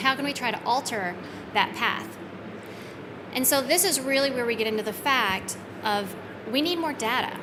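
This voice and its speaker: High in pitch, a woman speaks with lively intonation and long, frequent pauses. Audible room echo and noticeable background noise are present. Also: moderate pace. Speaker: software company retail director. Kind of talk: conference presentation.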